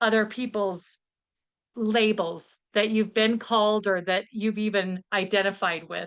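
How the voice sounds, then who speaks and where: A woman with a fairly high pitch speaks at a fairly slow pace, her intonation fairly even. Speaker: guest speaker; teacher. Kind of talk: talk over video call. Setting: video call. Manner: loud.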